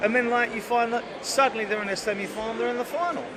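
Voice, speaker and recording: Noticeable background noise and audible echo from the room surround speech delivered fairly quickly. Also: man. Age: 60s. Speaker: football fan. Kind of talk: casual chat. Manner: halting.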